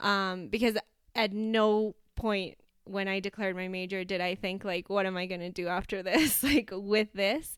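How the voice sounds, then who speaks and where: Here a woman has a plain, everyday voice at a medium pitch. She keeps a moderate pace and fairly even intonation in a very clean recording with a silent background. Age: 20s. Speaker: business founder. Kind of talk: interview.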